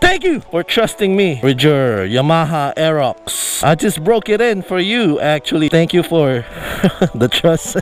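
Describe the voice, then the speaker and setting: A man speaks at a fairly slow pace with a high pitch and lively intonation, his loudness very even. Noticeable background noise runs underneath. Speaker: motovlogger. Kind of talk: casual vlog review.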